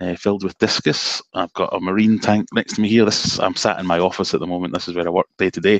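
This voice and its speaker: A man with a Glaswegian accent speaks at a very fast pace and fairly low pitch, his intonation fairly even, in a dry, close sound with no echo. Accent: Glaswegian Scottish. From Scotland, Glasgow (Cambuslang). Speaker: aquarium hobbyist YouTuber. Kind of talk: casual chat. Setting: video call.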